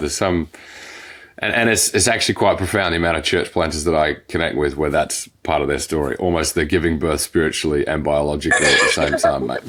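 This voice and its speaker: This man has an Australian accent. He talks at a fairly quick clip. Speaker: podcast host, church planter. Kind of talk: podcast interview.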